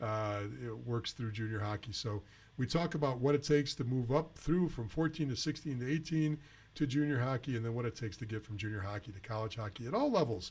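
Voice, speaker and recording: Somewhat breathy, a man speaks at a very fast pace. His medium pitch shows ordinary variation. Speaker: junior hockey advisor and show host. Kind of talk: live Q&A webcast. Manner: hesitant, many fillers.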